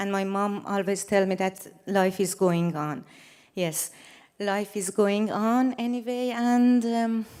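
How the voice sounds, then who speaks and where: A medium-pitched woman in a Persian accent, very slow in pace with fairly even intonation. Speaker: photographer. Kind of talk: stage presentation. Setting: stage with large audience. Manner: halting, many fillers.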